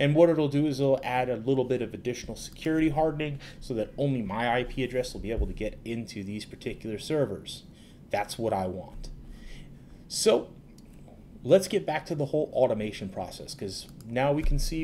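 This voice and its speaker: Over light background noise, a man with a dark, mellow tone talks at a fairly quick pace with lively intonation. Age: 30s. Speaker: cloud technology advocate; presenter. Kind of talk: tutorial. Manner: casual with filler words. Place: home room.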